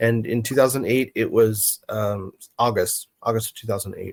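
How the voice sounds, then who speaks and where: At a moderate pace, a man with an American accent speaks in a somewhat breathy, medium-pitched voice, recorded dry and close with no echo. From New Mexico, US. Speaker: encounter witness. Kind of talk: interview.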